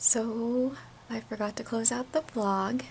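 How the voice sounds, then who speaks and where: A quiet woman's voice, fairly high in pitch, with noticeable background noise. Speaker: vlogger. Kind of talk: casual vlog talk to camera.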